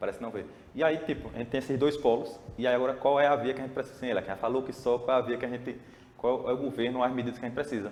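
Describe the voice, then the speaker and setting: This man talks extremely quickly. His delivery stays flat and monotone. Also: medium pitch for a man. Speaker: podcast guest. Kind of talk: casual political discussion. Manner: fast.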